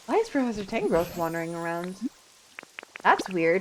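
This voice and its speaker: Music plays behind a woman as she talks. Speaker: vtuber streamer. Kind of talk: live gaming stream chat.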